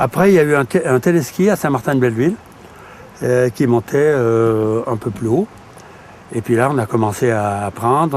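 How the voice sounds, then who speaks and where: Speech comes at a moderate pace. Noticeable background noise can be heard. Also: man. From French Alps, Savoie (Tarentaise). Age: 70s. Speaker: retired ski instructor and local councillor. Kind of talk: interview testimony. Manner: halting, many repetitions.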